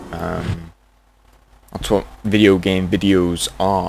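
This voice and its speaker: A man's fairly low-pitched voice with fairly even intonation over noticeable background noise. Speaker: gaming youtuber. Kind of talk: let's play commentary. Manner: casual, rambling with fillers.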